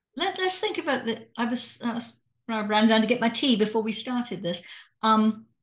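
A woman in an English accent, fairly high-pitched, at a fairly slow pace. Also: long, frequent pauses. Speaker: retired doctor and hypnotist. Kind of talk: casual conversation. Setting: video call.

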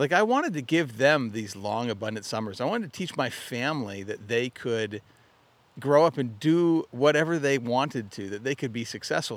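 With a General American accent, a man at medium pitch talks at a fairly quick pace with lively intonation. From Arizona. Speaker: mindset coach, podcast host. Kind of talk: motivational monologue. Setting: outdoors by a lake.

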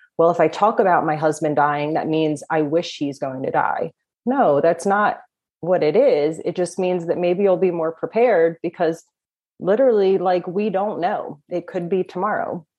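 A woman with a New Jersey accent at a moderate pace. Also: ordinary pitch variation. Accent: New Jersey American. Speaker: death doula, former pastry chef. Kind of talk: interview conversation.

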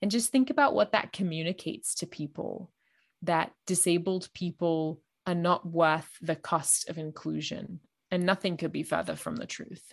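Against a quiet background, a woman with a fairly low pitch and vocal fry talks at a moderate pace with ordinary pitch variation. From Australia. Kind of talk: interview.

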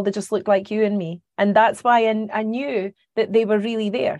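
At a moderate pace, a woman with a Scottish accent talks at a medium pitch with fairly even intonation. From Scotland, Carnoustie near Dundee. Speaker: psychic medium. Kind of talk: interview.

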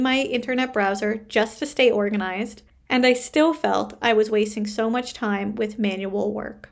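A woman with a Canadian accent has an ordinary speaking voice, fairly high in pitch, with fairly even intonation. She keeps a moderate pace on a very clean recording with a silent background. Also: hardly any pauses. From Canada. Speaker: podcast host and business coach. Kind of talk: interview.

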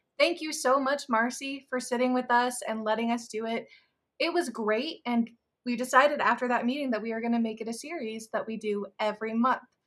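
A woman's ordinary speaking voice with an American accent, fairly high in pitch, at a moderate pace with ordinary pitch variation. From Iowa, Des Moines. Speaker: marketing manager. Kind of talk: casual chat.

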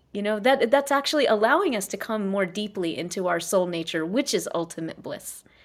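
With an American accent and an ordinary speaking voice, a woman at medium pitch speaks at a fairly quick pace, using lively intonation and hardly any pauses. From US South, South Carolina. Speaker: scientist and psychologist. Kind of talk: interview conversation; guided reflection.

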